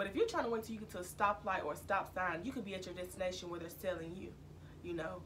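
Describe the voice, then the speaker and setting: A woman talks at a very fast pace with ordinary pitch variation. Light background noise sits underneath. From US South, Mississippi. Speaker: YouTuber. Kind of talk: casual vlog talk. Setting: at home, recording alone. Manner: casual, filler-heavy. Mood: earnest, serious advice. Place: home room. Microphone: camera far.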